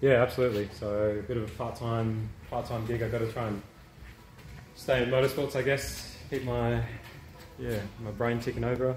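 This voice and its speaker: A man with a medium pitch speaks at a moderate pace in a monotone, flat intonation, with long, frequent pauses. Light background noise and audible room echo are present. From Perth, Western Australia; Western Australia. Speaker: aerodynamics engineer. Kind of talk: casual interview. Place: garage. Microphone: camera far.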